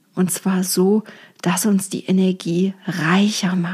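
A somewhat breathy, warm-toned woman's voice at medium pitch, very slow in pace. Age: 40s. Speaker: feng shui coach, podcast host. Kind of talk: personal monologue podcast. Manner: warm, conversational.

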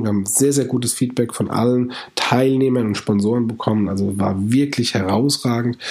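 A man speaks at a moderate pace and a medium pitch, with ordinary pitch variation and noticeable background noise. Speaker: podcast host. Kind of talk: podcast intro and ad read.

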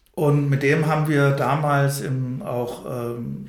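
A man speaks with a fairly high pitch and a somewhat breathy quality, his intonation fairly even. Room echo is audible around him. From Odenwald, Hesse, then Berlin-Spandau from age six. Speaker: anti-violence trainer and social worker. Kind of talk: interview conversation. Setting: institute office, fourth floor. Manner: hesitant, many fillers.

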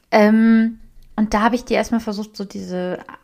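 A woman speaks at a moderate pace. Her tone is dark and mellow, and her intonation fairly even. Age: 20s. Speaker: podcast co-host, self-employed social media marketer. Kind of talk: casual chat.

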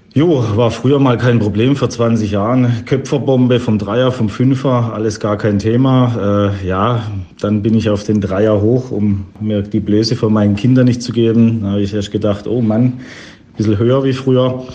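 Amid noticeable background noise and audible room echo, a man speaks at medium pitch and a moderate pace with fairly even intonation. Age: 40s. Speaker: caller sending a voice message. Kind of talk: recorded voice message anecdote. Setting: recorded voice message.

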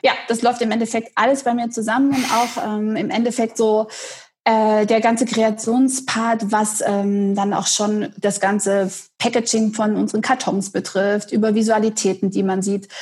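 A somewhat breathy woman's voice, fairly even in intonation, at a moderate pace. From Saxony, eastern Germany (Dresden). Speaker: head of marketing. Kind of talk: interview. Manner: hesitant, many fillers.

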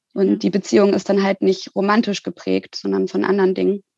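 A woman at a medium pitch with a dark, mellow tone, fairly even intonation and a moderate pace, dry and close with no echo over a quiet background. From Hamburg, northern Germany. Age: 20s. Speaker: social worker and part-time student. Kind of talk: interview.

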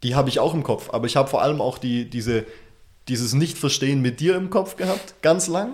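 The pace is fairly quick, and the pitch varies in an ordinary way. It is an unremarkable speaking voice. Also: man. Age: 20s. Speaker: podcast co-host. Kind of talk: casual chat.

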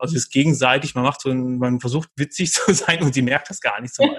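At a fairly quick pace, a man speaks in a medium pitch, sounding somewhat breathy. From Ruhr area, Germany (Dortmund). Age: 30s. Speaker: dating podcast guest. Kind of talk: casual interview. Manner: halting, many fillers.

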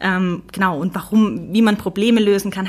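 A woman at a medium pitch and moderate pace, with fairly even intonation. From Stuttgart area, Swabia. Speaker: UX researcher. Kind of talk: interview. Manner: structured.

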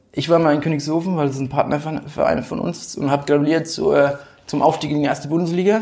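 Over noticeable background noise, a man talks very fast at a fairly high pitch with fairly even intonation. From Rhön region, Lower Franconia, Germany. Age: 20s. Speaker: football club board member. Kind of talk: casual interview.

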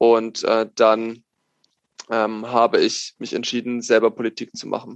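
A man talks at a fairly slow pace in a monotone, flat way. The sound is dry and close, with no echo. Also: medium pitch for a man, big swings in loudness. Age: 20s. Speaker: parliamentary candidate. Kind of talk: interview.

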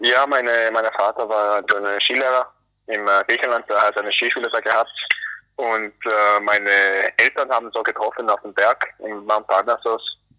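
The speaker has an English accent and delivers everything in a monotone with flat intonation. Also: man, medium pitch for a man, moderate pace. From US, North Carolina. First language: English (speaking German). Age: 20s. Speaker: alpine ski racer. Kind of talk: interview. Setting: phone call from airport. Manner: halting. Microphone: poor phone audio quality.

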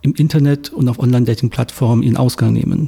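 This man's medium-pitched voice has a dark, mellow, somewhat breathy tone and fairly even intonation. He talks at a fairly quick pace in a dry, close sound with no echo. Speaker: sociologist. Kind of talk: interview. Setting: studio in Berlin.

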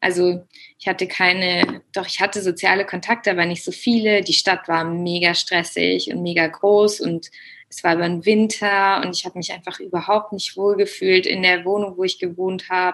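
In a flat monotone, a woman of medium pitch speaks at a moderate pace. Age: 20s. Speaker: yoga teacher and language teacher. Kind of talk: interview about personal experience. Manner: hesitant, many filler sounds.

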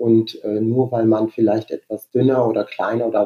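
A man talks at a moderate pace and medium pitch. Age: 40s. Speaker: dental hygienist and Roma rights activist. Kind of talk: interview conversation. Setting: internet call.

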